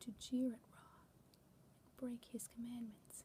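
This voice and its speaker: The pace is fairly slow. A whispering voice comes through noticeable background noise. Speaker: channel owner and fanfiction writer who reads literature aloud. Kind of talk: ASMR story reading, mythology narration. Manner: whispered.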